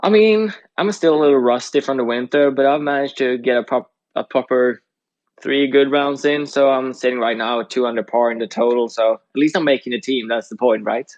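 A man with a Swedish accent talks at a fairly quick pace. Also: medium pitch for a man, ordinary pitch variation. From Sweden. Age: 20s. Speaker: podcast co-host and college golfer. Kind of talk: casual chat.

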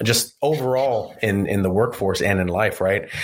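Noticeable background noise beneath speech with ordinary pitch variation. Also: man. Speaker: auto dealership service director. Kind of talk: casual chat. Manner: laid-back, joking.

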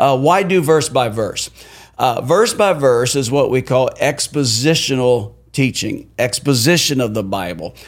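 In a normal speaking voice, a man talks fairly slowly at a medium pitch with lively intonation. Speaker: pastor. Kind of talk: casual podcast discussion about Bible study. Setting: small studio room.

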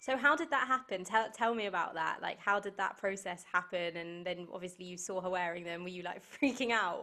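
A woman with a British accent has a bright, sharp, medium-pitched voice with ordinary pitch variation. She talks at a fairly quick pace with hardly any pauses and big swings in loudness. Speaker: podcast host. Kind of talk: casual chat. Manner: animated.

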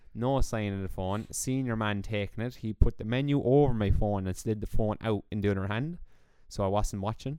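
A man's fairly low, dark, mellow voice with an Irish accent, a fairly quick pace and ordinary pitch variation. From Ireland. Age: 20s. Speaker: podcast co-host. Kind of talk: casual chat.

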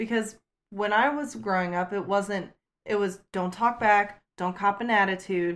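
Speaking slowly, a woman uses an unremarkable speaking voice at medium pitch, at a fairly slow pace. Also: fairly even intonation. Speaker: step-parent. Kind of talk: casual chat.

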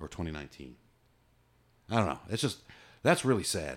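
A man's voice with vocal fry and very wide pitch swings, on a very clean recording with a silent background. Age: 50s. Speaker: podcast host. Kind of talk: casual chat.

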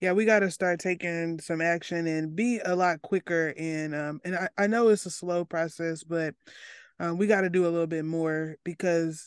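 In an Arkansas accent, the speaker keeps a moderate pace and fairly even intonation, with a dry, close sound with no echo and a quiet background. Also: woman. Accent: Southern US (Arkansas). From US South, Arkansas. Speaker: podcast host, mental health student. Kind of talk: interview conversation.

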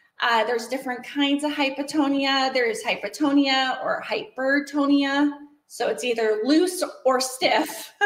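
At a fairly slow pace, a woman with an American accent speaks at a high pitch with ordinary pitch variation. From Washington State. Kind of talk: interview.

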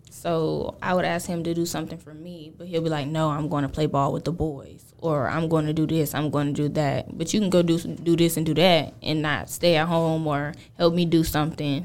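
This woman has a Georgia accent and a very deep, low pitch. She keeps a moderate pace with hardly any pauses and fairly even intonation. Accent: Southern US, Georgia. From US South, Gainesville, Georgia. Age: 20s. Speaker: podcast guest. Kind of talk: casual chat.

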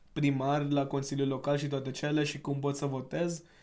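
Someone with a non-native accent speaks amid audible room echo. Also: man. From India. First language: not Romanian (speaking Romanian). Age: 20s. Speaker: podcast guest, civic project founder. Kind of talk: casual chat.

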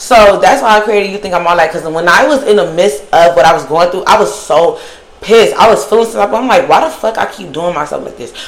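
A woman talks at a very fast pace with a medium pitch, an animated tone, lively intonation and big swings in loudness. Noticeable background noise and audible room echo are present. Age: 20s. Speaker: podcast host. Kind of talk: solo monologue.

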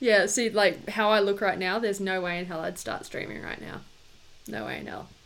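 A woman of medium pitch with vocal fry, fairly even intonation, big swings in loudness, and a fairly quick pace. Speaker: podcast co-host. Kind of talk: casual chat.

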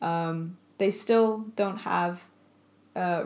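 Speaking very slowly, the woman keeps her intonation fairly even. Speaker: podcast host. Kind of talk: casual chat. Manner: rambling, halting.

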